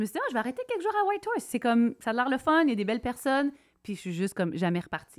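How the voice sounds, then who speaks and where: A woman's high-pitched voice at a very fast pace, with very wide pitch swings. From Quebec. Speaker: country musician. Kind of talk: casual chat.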